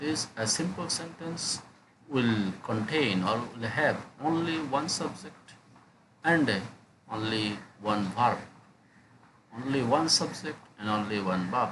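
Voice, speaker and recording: Amid audible room echo and noticeable background noise, a man with a medium pitch and lively intonation speaks at a very slow pace with long, frequent pauses. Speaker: English lecturer. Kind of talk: lecture. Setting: screen recording. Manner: hesitant with many fillers.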